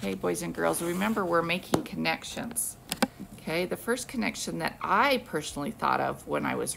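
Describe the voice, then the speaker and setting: Moderate pace against light background noise. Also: woman. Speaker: teacher. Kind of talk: read-aloud to children. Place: classroom. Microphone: phone near.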